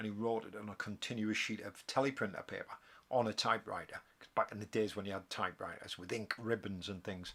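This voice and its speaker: Talking at a very fast pace in a Geordie accent, a man has a fairly low pitch and a bright, sharp tone. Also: fairly even intonation. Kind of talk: casual live stream talk. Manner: hesitant, rambling.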